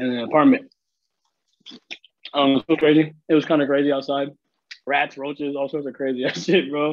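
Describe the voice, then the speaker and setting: Talking at a fairly quick pace yet with long, frequent pauses, a man uses a fairly high pitch and fairly even intonation. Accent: Seattle. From US Pacific Northwest, South Seattle (Filipino immigrant). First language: Tagalog and Ilocano. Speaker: videographer and entrepreneur. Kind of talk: casual chat.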